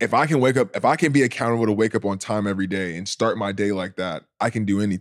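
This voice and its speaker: A man with an American accent and a plain, everyday voice speaks at a fairly quick pace, his pitch fairly low and its variation ordinary, in a very clean recording with a silent background and a dry, close sound with no echo. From California. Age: 20s. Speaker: professional basketball player. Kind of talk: casual chat. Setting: studio.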